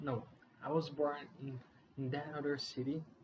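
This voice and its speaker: Fairly slow, monotone speech with a flat intonation and a non-native accent. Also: man. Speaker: beginner YouTuber. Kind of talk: casual vlog monologue. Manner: halting, many fillers and restarts.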